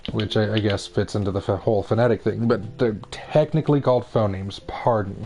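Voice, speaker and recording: With hardly any pauses, the speech shows ordinary pitch variation over noticeable background noise. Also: man, fairly low pitch for a man. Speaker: gaming streamer. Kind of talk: casual chat. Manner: mumbling, stumbling over words; halting.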